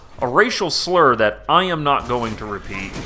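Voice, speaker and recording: Music plays in the background as a man speaks with a Southern US accent. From US South, Georgia (southern metro Atlanta). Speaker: gaming YouTuber. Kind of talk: casual commentary to camera. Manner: halting, many fillers.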